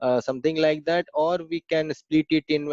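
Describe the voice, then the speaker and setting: A man speaks at a fairly high pitch and a moderate pace. The sound is dry and close, with no echo. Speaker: programming trainer. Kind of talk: online class Q&A. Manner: hesitant, many fillers.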